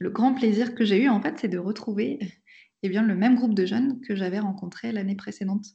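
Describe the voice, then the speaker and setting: A woman's somewhat breathy, medium-pitched voice with fairly even intonation. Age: 30s. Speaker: pastor. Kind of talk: testimony. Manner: hesitant, with frequent fillers.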